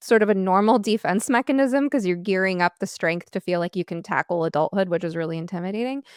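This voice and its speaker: In a very clean recording with a silent background and a dry, close sound with no echo, a woman uses an ordinary speaking voice with medium pitch and ordinary pitch variation. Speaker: therapist and podcast host. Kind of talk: podcast interview questions.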